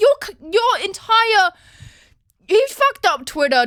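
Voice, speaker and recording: A woman speaks with an Australian accent at a very slow pace. Her intonation is lively. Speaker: vlogger. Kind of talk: casual rant. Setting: home, handheld recording. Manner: loud; animated.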